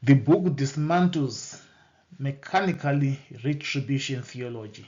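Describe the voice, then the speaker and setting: A man with a Zimbabwean accent speaks at a fairly slow pace in a somewhat breathy, fairly high voice with ordinary pitch variation. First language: Shona. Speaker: bible teacher. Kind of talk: bible teaching lecture. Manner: halting, with repetitions and self-corrections.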